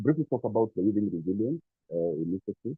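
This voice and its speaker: A soft-spoken man talks at a fairly low pitch with lively intonation. Music plays in the background. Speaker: NGO executive. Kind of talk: formal speech. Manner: hesitant, many fillers.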